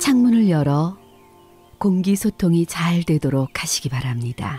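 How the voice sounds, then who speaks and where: With music in the background, a woman in a fairly low pitch speaks in a calm tone with very wide pitch swings, the sound dry and close with no echo. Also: fairly slow pace. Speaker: voice actor. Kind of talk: guided wellness exercise instructions. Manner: calm, slow.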